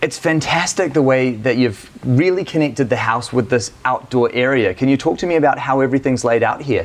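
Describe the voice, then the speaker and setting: A man with an Australian accent at a fairly quick pace, with ordinary pitch variation and hardly any pauses. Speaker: home tour video host. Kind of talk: home tour interview. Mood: enthusiastic, admiring. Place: home room.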